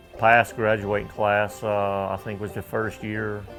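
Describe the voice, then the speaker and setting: A man with an American accent, fairly low in pitch, music in the background. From Tangier Island, Virginia. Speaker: waterman and island mayor. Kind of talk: interview answer.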